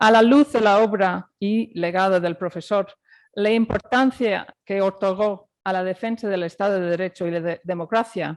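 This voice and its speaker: A woman's medium-pitched voice moves at a moderate pace with ordinary pitch variation. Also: dry, close sound with no echo. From Ireland. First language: English or Irish, not Spanish (speaking Spanish). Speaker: judge. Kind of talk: formal lecture. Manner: formal.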